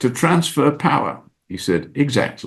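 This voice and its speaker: This man's lively intonation carries noticeable vocal fry. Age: 80s+. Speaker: former CEO and business school professor. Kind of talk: interview answer.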